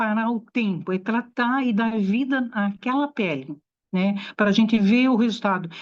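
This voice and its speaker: Against a quiet background, a woman with an unremarkable speaking voice talks at a fairly slow pace, her fairly high pitch moving with ordinary variation. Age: 60s. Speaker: aesthetician. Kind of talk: talk to an audience.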